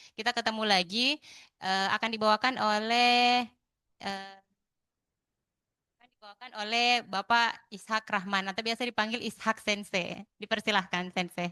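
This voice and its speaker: A woman's bright, sharp voice sits at a fairly high pitch with fairly even intonation, recorded dry and close with no echo. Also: moderate pace, big swings in loudness. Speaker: event MC and moderator. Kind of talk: event moderation. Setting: hybrid event in university hall.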